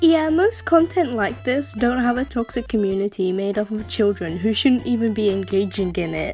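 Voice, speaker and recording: A woman talks at a moderate pace, with hardly any pauses. Noticeable background noise runs underneath. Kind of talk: reaction commentary voiceover. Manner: sarcastic, irritated.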